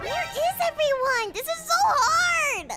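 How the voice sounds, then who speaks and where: In a put-on character voice, a woman squeaks at an extremely high pitch with very wide pitch swings. She goes at a fairly slow pace over faint music in the background. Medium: machinima. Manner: excitable, dramatic.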